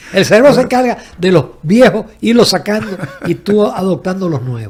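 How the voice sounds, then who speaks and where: Over noticeable background noise, a man talks at a high pitch with very wide pitch swings. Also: moderate pace. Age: 70s. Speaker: economist and journalist. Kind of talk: interview conversation.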